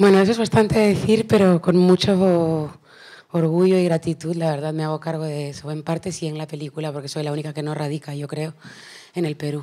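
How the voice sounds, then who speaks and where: Speaking at a fairly quick pace, a woman with a very deep, low pitch keeps fairly even intonation while her loudness swings widely. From Peru. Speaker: singer. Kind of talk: panel interview.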